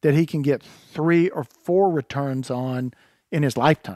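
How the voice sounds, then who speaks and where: Speaking fairly slowly with a Southern US accent, a man uses a fairly high pitch and fairly even intonation, in a dry, close sound with no echo. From North Carolina. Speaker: land manager and hunter. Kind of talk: casual chat.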